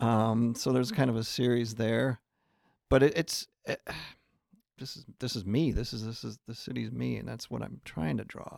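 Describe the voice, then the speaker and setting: A man with an American accent talks at a moderate pace, his loudness swinging widely. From US Midwest. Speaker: artist. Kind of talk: casual interview. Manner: halting.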